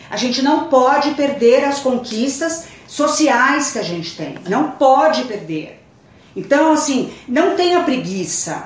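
Over noticeable background noise and audible room echo, a woman talks at a very slow pace with a high pitch and lively intonation. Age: 50s. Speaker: educator and fashion designer. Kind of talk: casual chat.

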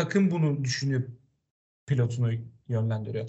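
A man's somewhat breathy voice moves at a fairly quick pace with lively intonation. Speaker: motorsport podcast host. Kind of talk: casual chat.

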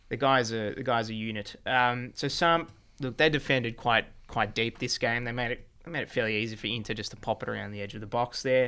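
In an Australian accent, the speaker talks at a fairly quick pace with a bright, sharp, playful tone and fairly even intonation, in a very clean recording with a silent background. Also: man, medium pitch for a man. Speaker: football show host. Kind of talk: casual banter podcast chat. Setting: studio, filmed video show. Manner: jokey, playful.

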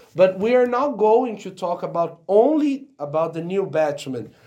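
A man with a Portuguese accent talks at a fairly slow pace. His tone is dark and mellow, his intonation lively. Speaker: podcast co-host. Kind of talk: casual chat.

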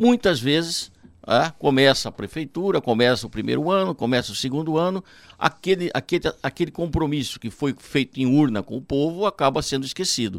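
Recorded very cleanly against a silent background, a man with a normal speaking voice talks at a moderate pace and fairly high pitch, his intonation lively and the sound dry and close with no echo. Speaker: municipal secretary. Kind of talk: radio interview.

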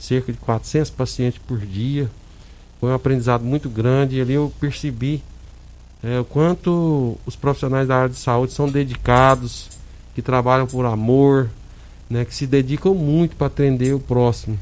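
A man at a medium pitch, moderate pace and fairly even intonation. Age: 50s. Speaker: hospital administrator, former city councillor. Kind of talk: radio interview. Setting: radio studio. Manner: halting, many fillers.

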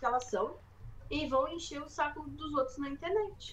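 High-pitched, a woman talks with ordinary pitch variation. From Rio Grande do Sul, Brazil. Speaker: stand-up comedian. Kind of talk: casual chat.

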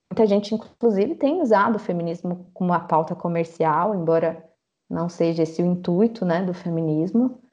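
A woman's fairly low voice at a moderate pace, with ordinary pitch variation and music in the background. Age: 30s. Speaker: social worker. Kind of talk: casual interview.

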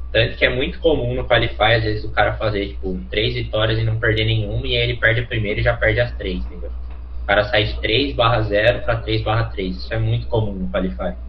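A man's very deep, low voice at a very fast pace, fairly even intonation, and audible room echo. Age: 20s. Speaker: professional esports player. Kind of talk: casual chat.

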